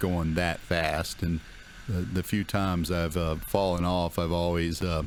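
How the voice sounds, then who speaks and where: A man's very deep, low voice in a monotone, flat delivery. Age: 60s. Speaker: dirt bike vlogger. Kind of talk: casual riding commentary. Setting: outdoors riding a dirt bike through woods. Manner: hesitant, many fillers.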